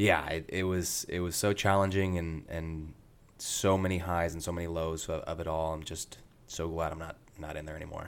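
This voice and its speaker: A man with a Midwestern American accent speaks at a moderate pace in a very deep, low voice. His intonation is monotone and flat. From US Midwest, rural Indiana. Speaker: medical student and Paralympic athlete. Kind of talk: interview. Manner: hesitant, many fillers.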